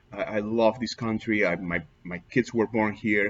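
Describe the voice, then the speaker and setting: A man's fairly low voice unfolds fairly slowly. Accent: Peruvian. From Peru. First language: Spanish. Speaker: immigrant vlogger. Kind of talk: personal testimony. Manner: halting, many fillers.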